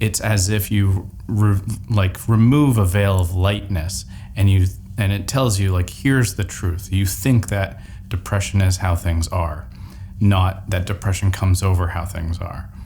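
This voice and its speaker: A man's very deep, low voice with ordinary pitch variation at a fairly slow pace. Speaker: personal development vlogger. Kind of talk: personal vlog monologue.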